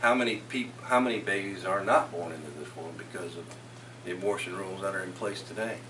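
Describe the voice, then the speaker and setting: Over noticeable background noise, a man with an American accent talks at a very fast pace in a fairly low pitch, with ordinary pitch variation. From Florida. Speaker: state legislator and political candidate. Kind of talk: campaign Q&A. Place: meeting room. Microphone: camera far.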